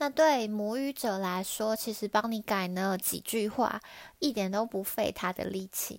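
A woman speaks at medium pitch in a Taiwanese accent, fairly slowly. The recording is very clean with a silent background. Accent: Taiwanese Mandarin. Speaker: podcaster, language learner. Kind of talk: solo podcast monologue.

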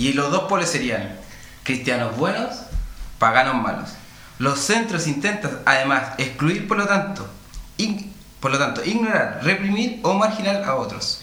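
A man with a Chilean accent talks in a high pitch with very wide swings, at a fairly slow pace with long, frequent pauses. Noticeable background noise runs underneath. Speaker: radio host. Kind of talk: casual chat. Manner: halting.

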